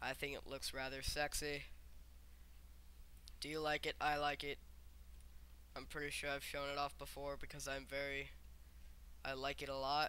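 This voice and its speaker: A quiet man speaks at a moderate pace with a fairly high pitch and a bright, sharp tone. His intonation is monotone and flat, broken by long, frequent pauses. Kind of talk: casual gameplay commentary. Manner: quiet, subdued; sarcastic.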